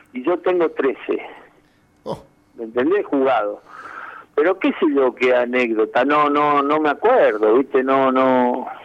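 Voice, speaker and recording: At a fairly slow pace with long, frequent pauses, a man speaks at a medium pitch with ordinary pitch variation over noticeable background noise. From Argentina, Santa Fe province (Santo Tomé). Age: 60s. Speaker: former footballer. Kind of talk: interview.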